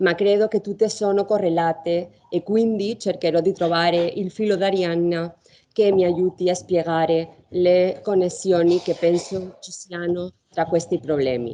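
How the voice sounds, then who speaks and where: A woman talks at a fairly slow pace with fairly even intonation. Her fairly low voice has a dark, mellow tone. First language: Spanish or Catalan (speaking Italian). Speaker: law professor. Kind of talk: conference talk. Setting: university lecture hall, round table.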